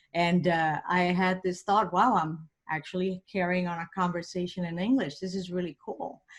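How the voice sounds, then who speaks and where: Speaking at a moderate pace and medium pitch, a woman with a Puerto Rican accent sounds somewhat breathy on a very clean recording with a silent background. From Puerto Rico. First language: Spanish. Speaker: engineering professor and motivational speaker. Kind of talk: podcast interview. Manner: animated.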